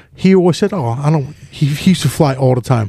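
This man's voice has a dark, mellow tone and is somewhat breathy. His pitch sits fairly high for a man. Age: 40s. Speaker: podcast co-host. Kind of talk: casual chat.

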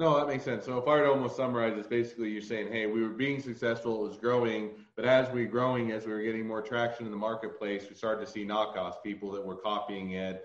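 Over noticeable background noise, a man talks at a very fast pace with fairly even intonation and hardly any pauses. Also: medium pitch for a man. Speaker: podcast host and patent lawyer. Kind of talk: interview.

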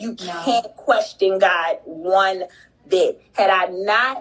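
Background noise is noticeable as a woman speaks at a very slow pace. Her pitch varies in an ordinary way. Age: 30s. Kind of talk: testimony. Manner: animated.

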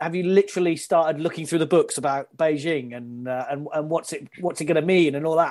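Speaking at a fairly quick pace, a man has fairly high pitch, a slightly mellow tone and ordinary pitch variation.

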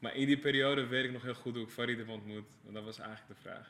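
Monotone, flat intonation from a man with a medium-pitched voice. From Amsterdam-Noord, Netherlands. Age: 30s. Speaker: creative director for music videos and album covers. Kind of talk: casual podcast interview.

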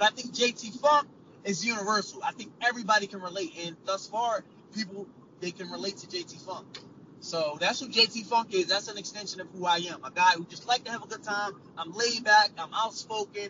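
A man with an American accent speaks at a fairly quick pace in a high voice, with ordinary pitch variation, big swings in loudness and noticeable background noise. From Trenton, New Jersey. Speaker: professional wrestler. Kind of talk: interview.

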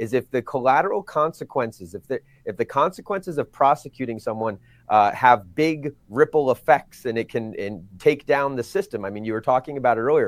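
With a plain, everyday voice, a man speaks at a fairly quick pace and fairly high pitch, using lively intonation in a dry, close sound with no echo. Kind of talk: political discussion.

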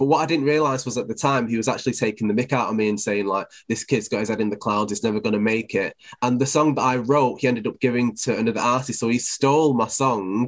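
A man talks at a very fast pace with a Mancunian accent. His pitch sits in the medium range. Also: ordinary pitch variation. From Manchester, England. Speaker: DJ and presenter. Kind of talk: casual interview.

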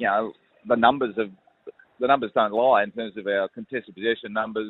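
Fairly quick speech comes from a man with an Australian accent. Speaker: football club coach. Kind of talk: interview.

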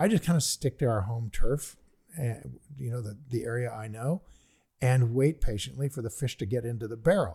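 Heard in a dry, close sound with no echo, a man with a dark, mellow, somewhat breathy tone speaks at a medium pitch and a fairly quick pace with ordinary pitch variation. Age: 70s. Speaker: investing podcast co-host. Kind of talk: casual chat.

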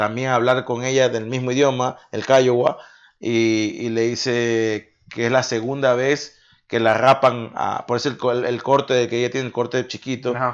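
Against a quiet background, a man of medium pitch speaks at a fairly slow pace with monotone, flat intonation. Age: 30s. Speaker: podcast co-host. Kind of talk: casual chat.

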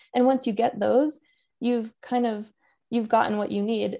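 A woman with an American accent, dark and mellow in tone, at a moderate pace, on a very clean recording with a silent background. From US Northeast, Connecticut. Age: 30s. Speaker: therapist in training. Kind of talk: casual chat.

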